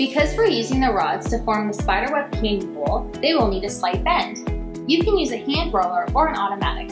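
Clear music sits in the background. Over it, a woman talks at a fairly quick pace. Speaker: welding instructor. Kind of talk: tutorial. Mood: friendly, upbeat. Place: workshop. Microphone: lapel.

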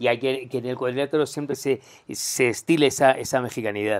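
A man is speaking. His pace is very fast. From Spain. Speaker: interview show host. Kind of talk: interview. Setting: hotel room. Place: home room.

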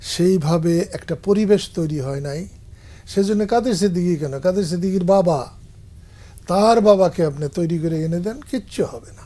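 The man speaks with a high pitch and a dark, mellow tone. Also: ordinary pitch variation. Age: 70s. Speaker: veteran politician. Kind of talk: interview.

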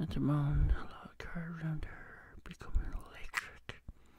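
Someone whispers in a gentle tone. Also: man. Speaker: ASMR creator. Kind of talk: casual talk to camera, ASMR whispering. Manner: gentle, soft-spoken. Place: home room. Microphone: studio mic.

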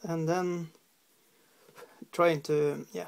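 A very slow delivery with a Norwegian accent, vocal fry, a slightly mellow tone and little pitch movement.

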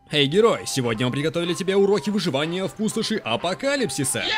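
The speech moves at a very fast pace with very wide pitch swings. Background noise is noticeable. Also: man, high pitch for a man. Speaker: voice actor. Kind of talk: comedic voice-over dub of a game video. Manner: playful.

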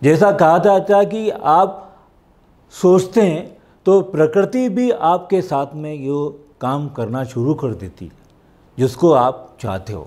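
Speaking very slowly, a man with a dark, mellow tone and fairly high pitch makes very wide pitch swings and big swings in loudness. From India. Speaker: voice over artist. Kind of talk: motivational talk. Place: studio. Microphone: lapel.

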